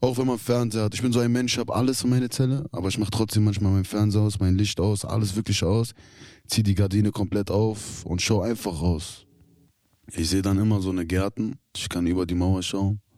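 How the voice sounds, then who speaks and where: On a very clean recording with a silent background, a man with an unremarkable speaking voice talks fairly quickly at a fairly low pitch. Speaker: prison inmate. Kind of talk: interview. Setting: youth prison.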